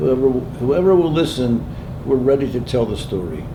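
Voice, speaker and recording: A man with an American accent at medium pitch and moderate pace, very wide pitch swings, audible room echo and noticeable background noise. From Pennsylvania. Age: 90s. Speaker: war veteran. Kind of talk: testimony.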